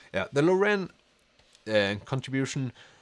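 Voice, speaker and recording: In a Norwegian accent, a man speaks at a medium pitch and a very slow pace, with very wide pitch swings. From Norway. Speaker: book youtuber. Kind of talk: livestream chat reading comments. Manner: halting.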